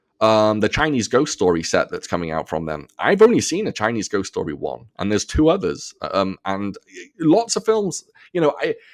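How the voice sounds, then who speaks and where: A man's animated voice at a moderate pace, dry and close with no echo, in a very clean recording with a silent background. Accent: American. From North Wales. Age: 40s. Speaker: podcast guest, film podcaster. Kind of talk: casual chat. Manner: animated, lots of fillers and restarts.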